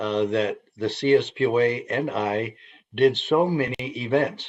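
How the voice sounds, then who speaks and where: A man talks in a normal speaking voice, medium in pitch with ordinary pitch variation. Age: 60s. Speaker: sheriff and association founder. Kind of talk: live radio interview.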